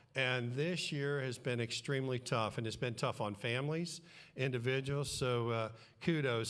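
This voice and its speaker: Audible room echo surrounds this recording. A man speaks at a medium pitch. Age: 70s. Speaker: guest preacher, church co-founder. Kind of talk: sermon.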